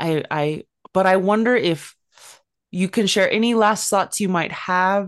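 A woman with an American accent and a normal speaking voice, medium pitch, ordinary pitch variation, very even loudness and a fairly slow pace, against a quiet background. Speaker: podcast host. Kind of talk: casual interview.

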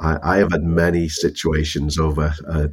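A man's very deep, low pitch, somewhat breathy, in monotone, flat intonation. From northern England. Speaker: tech company executive. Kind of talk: interview. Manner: halting, many repetitions.

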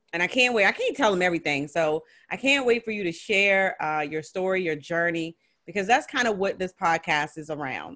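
Against a quiet background, a medium-pitched woman with a bright, sharp tone makes very wide pitch swings. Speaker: podcast host and business consultant. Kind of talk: interview conversation. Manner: enthusiastic.

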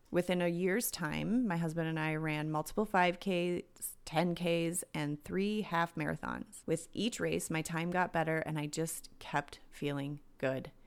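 With an American accent and a normal speaking voice, a woman talks fairly slowly at a fairly low pitch with hardly any pauses, on a very clean recording with a silent background. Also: ordinary pitch variation. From US Midwest, southern Minnesota. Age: 40s. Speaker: wellness podcast host. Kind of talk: solo podcast monologue. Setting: home.

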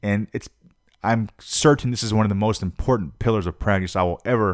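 Very clean recording with a silent background: a man with an unremarkable speaking voice, fairly low in pitch, ordinary pitch variation, fairly quick pace. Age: 30s. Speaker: podcast host, freelance musician and discus thrower. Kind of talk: solo podcast monologue. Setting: home recording in his apartment. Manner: casual, rambling with frequent fillers and repetitions.

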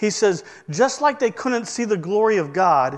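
A man with a Midwestern American accent, lively intonation and a fairly slow pace. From US Midwest, northern Indiana. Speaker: pastor. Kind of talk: sermon.

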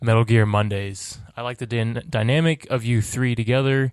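An unremarkable speaking voice delivers its words with fairly even intonation. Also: man. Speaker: podcast co-host. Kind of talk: casual chat.

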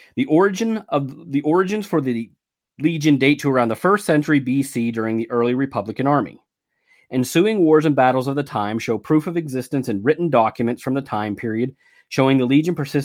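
With an unremarkable speaking voice, a man talks at a fairly quick pace with fairly high pitch and ordinary pitch variation, in a very clean recording with a silent background. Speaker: podcast narrator. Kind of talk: history documentary narration. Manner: measured, formal, authoritative storytelling.

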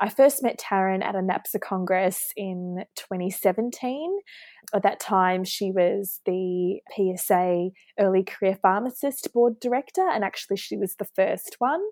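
Recorded very cleanly against a silent background with a dry, close sound and no echo, a woman with a New Zealand accent speaks at a moderate pace in a medium pitch with ordinary pitch variation. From New Zealand, Auckland. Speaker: hospital pharmacist. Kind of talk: interview.

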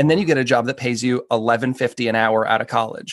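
An ordinary speaking voice from a man with an American accent, medium in pitch with ordinary pitch variation, comes at a fairly quick pace against a quiet background. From northern US. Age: 40s. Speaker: personal chef. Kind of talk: interview.

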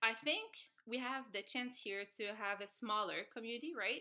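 Speaking at a moderate pace, a woman has a Quebec French accent and a bright, sharp tone. Her pitch variation is ordinary. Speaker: dancer and dance instructor. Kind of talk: casual interview. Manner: soft-spoken.

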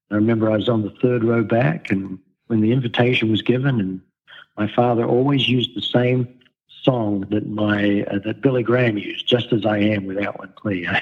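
A man with an Australian accent, medium pitch, fairly even intonation, and a fairly quick pace. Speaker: pastor. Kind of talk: interview.

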